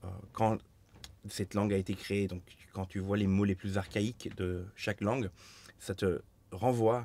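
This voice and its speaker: With a Turkish accent, a man talks in a dark, mellow tone at a fairly low pitch, his delivery monotone and flat, his loudness swinging widely, with long, frequent pauses. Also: fairly slow pace. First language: Turkish (speaking French). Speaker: master coppersmith, business founder. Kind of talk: casual interview.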